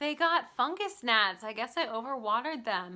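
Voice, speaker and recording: Here a woman with an American accent speaks at a moderate pace. Her bright, sharp tone sounds animated. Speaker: artist and small shop owner. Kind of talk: casual Q&A vlog.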